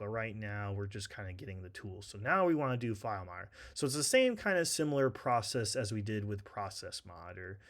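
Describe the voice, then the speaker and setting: The speaker has a plain, everyday voice. Pitch varies in an ordinary way. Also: man. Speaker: tech tutorial instructor. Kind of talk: tutorial. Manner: casual, filler-heavy.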